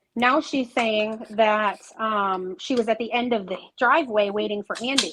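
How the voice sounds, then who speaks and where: A fairly high woman's voice at a moderate pace, with ordinary pitch variation. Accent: New York. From upstate New York. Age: 30s. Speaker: guest. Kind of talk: casual chat.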